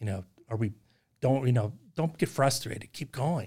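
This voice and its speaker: On a very clean recording with a silent background, a man speaks at a moderate pace in a somewhat breathy voice with a dark, mellow tone. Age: 60s. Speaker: business owner. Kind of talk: casual chat.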